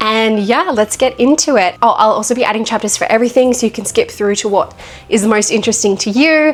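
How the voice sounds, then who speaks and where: A woman speaks at a fairly quick pace with ordinary pitch variation. Noticeable background noise is present. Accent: Australian. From Australia. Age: 20s. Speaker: vlogger. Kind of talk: casual monologue to camera.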